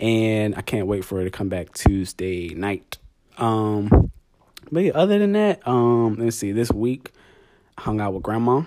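This man's pitch sits fairly low, with a dark, mellow tone and ordinary pitch variation. He speaks at a fairly slow pace. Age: 20s. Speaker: podcast host. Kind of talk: casual chat.

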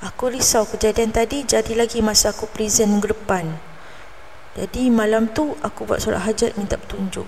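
A woman with a fairly high pitch talks at a moderate pace and fairly even intonation, noticeable background noise underneath. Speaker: storyteller podcaster. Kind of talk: first-person storytelling narration.

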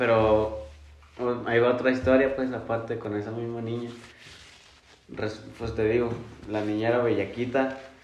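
Amid noticeable background noise and audible room echo, a man of medium pitch speaks at a fairly slow pace with fairly even intonation and long, frequent pauses. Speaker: podcast co-host. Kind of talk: casual chat.

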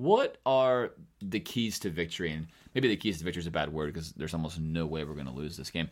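Rattling along at a very fast pace, a man with a very deep, low pitch uses lively intonation. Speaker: podcast host. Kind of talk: casual sports chat.

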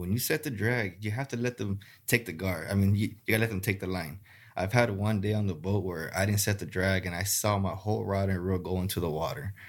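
A man with an American accent talks at a fairly quick pace. His pitch is fairly low with ordinary variation, on a very clean recording with a silent background. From South Texas (Rio Grande Valley). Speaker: gar fishing guide. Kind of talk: casual interview. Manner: halting, many fillers.

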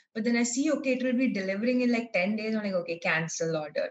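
A woman talks very fast at a fairly high pitch, her intonation lively. Her voice is somewhat breathy. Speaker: resort and cafe owner. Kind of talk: casual chat.

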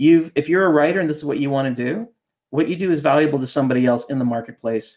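This man, with a Canadian accent, has a normal speaking voice that is fairly high-pitched with ordinary pitch variation. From Ontario, Canada (outside Toronto). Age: 40s. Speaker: ghostwriter and fiction author. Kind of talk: casual interview.

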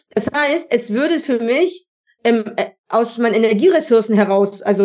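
A woman with an ordinary speaking voice, fairly high in pitch, lively in intonation, at a moderate pace. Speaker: podcast host, personal development mentor. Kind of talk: casual interview chat. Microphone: worse audio track quality than usual.

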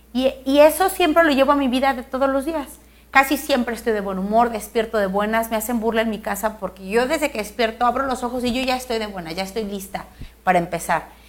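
A woman speaks at a very fast pace in a high pitch. Her intonation is lively. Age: 40s. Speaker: politician. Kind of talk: interview.

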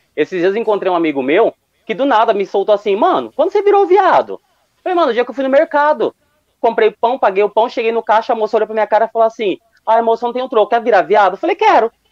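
A man talks at a very fast pace in a high voice with lively intonation, the sound dry and close with no echo. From Londrina, Paraná, southern Brazil. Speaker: amateur stand-up comedian. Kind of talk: stand-up.

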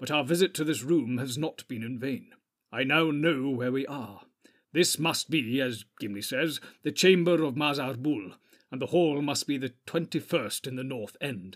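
A put-on character voice from a man, pitched fairly high, moving at a moderate pace. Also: very clean recording, silent background. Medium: read story. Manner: grave, commanding.

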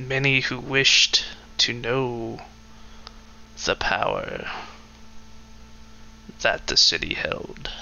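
Using a put-on character voice, a man speaks at a very slow pace with long, frequent pauses over clear background noise.

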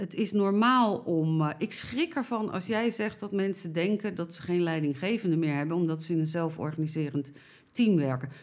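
A woman's plain, everyday voice, fairly low in pitch, at a moderate pace in a very clean recording with a silent background. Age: 60s. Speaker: elderly care campaigner. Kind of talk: interview.

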